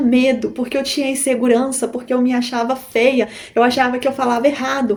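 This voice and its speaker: A woman talks fairly quickly in an animated tone with a Minas Gerais accent. Her pitch sits high. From Brazil, Minas Gerais. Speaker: YouTuber, online seller. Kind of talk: motivational talk to camera. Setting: recording to camera.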